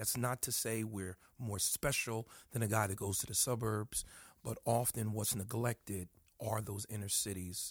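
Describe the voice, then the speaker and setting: Over a very clean recording with a silent background, a man speaks at a moderate pace in a somewhat breathy voice. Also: medium pitch for a man, dry, close sound with no echo. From northern New Jersey, US. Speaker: pastor and church planter. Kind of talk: interview. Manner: animated.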